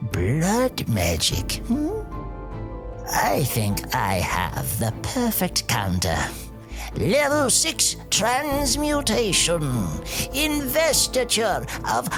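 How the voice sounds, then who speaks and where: Putting on a character voice, someone talks at a very slow pace with long, frequent pauses while loud music plays in the background. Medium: audio drama. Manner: dry, measured, learned.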